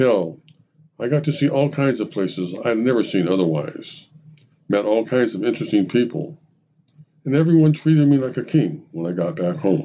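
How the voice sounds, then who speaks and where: A man speaks in a dark, mellow tone with vocal fry and very wide pitch swings. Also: medium pitch for a man, moderate pace. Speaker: podcast narrator. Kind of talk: scripted narration of a personal anecdote, with quoted dialogue from an old veteran. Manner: measured, reflective storytelling.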